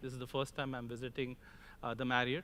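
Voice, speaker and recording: A man with an Indian accent talks at a very fast pace, his pitch fairly high. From India (Mumbai). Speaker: crop protection industry executive, conference speaker. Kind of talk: conference keynote speech.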